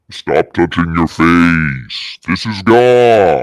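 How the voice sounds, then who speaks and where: Using a put-on character voice, a man speaks with a very deep, low pitch. His delivery is very slow. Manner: booming, commanding, authoritative.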